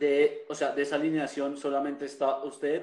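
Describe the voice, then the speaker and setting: This man has an ordinary speaking voice with fairly high pitch. He talks at a fairly slow pace with fairly even intonation. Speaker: podcast host and festival organizer. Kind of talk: casual chat.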